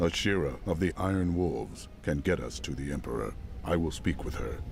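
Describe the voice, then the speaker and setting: A man puts on a character voice with a very deep, low pitch at a moderate pace. Background noise is clearly audible. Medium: video game. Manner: calm, resolute.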